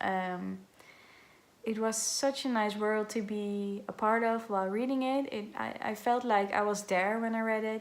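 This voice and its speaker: In a slight Dutch accent, a woman speaks at a fairly high pitch with fairly even intonation, and audible room echo surrounds her. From Netherlands. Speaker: book vlogger. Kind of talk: casual vlog talk to camera. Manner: halting, many filler sounds.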